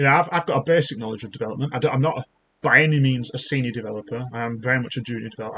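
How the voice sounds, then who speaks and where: A man speaks at a very fast pace. His medium pitch shows ordinary pitch variation. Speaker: YouTuber, junior developer. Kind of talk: casual rant, software demo. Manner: halting, many fillers and restarts. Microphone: laptop mic.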